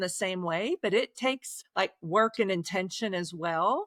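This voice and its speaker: Speaking at a moderate pace, a woman with a slight Oklahoma accent uses lively intonation. The sound is dry and close, without echo. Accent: slight Oklahoma twang. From Oklahoma, Osage County. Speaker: author. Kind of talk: podcast interview. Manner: halting, repeats words.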